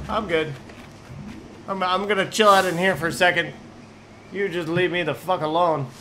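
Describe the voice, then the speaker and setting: Over noticeable background noise, a man with a high pitch and ordinary pitch variation speaks at a moderate pace. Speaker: gaming YouTuber. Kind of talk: casual gameplay commentary. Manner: casual, profane, excitable.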